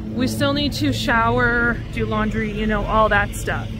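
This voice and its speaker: Female speech at a moderate pace, set against music in the background. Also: dry sound with no echo. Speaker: hiking vlogger. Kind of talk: casual vlog chat. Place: street. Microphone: phone near.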